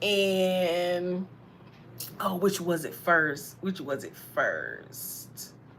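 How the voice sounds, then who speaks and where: The speech comes at a very slow pace in an American accent, with fairly even intonation and big swings in loudness. Audible room echo fills the recording. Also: woman, fairly low pitch for a woman. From US South, Alabama. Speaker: tarot reader. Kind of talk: casual storytelling.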